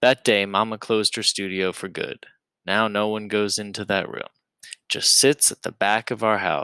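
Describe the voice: Plain reading aloud comes over a quiet background.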